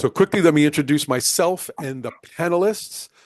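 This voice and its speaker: With an American accent, a man talks at a moderate pace with ordinary pitch variation against a quiet background. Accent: American, in Australia 26 years. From United States. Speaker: webinar moderator, organizational psychologist. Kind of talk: webinar moderation. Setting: online webinar.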